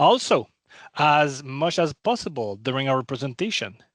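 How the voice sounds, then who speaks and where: Over a quiet background, a man with a non-native accent speaks with lively intonation. The sound is dry and close, with no echo. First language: not English. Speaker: cloud program manager. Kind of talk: webinar presentation. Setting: online webinar.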